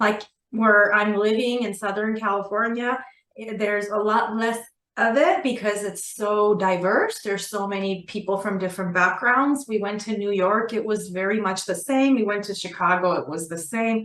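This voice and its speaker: With an Armenian accent, a woman talks at a moderate pace and medium pitch with fairly even intonation. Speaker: assistant principal and author. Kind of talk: interview. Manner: conversational with fillers.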